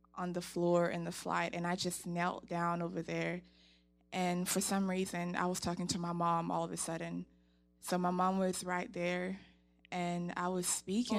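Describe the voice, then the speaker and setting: On a very clean recording with a silent background, a woman speaks at a moderate pace and fairly low pitch with monotone, flat intonation. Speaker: attendee sharing a dream at a prayer ministry session.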